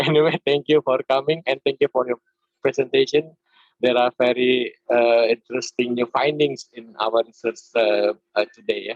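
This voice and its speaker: The speaker has an Indonesian accent and a moderate pace. The intonation stays fairly even. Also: man, medium pitch for a man. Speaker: conference session chair. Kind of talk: online conference session moderation. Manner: halting, many fillers.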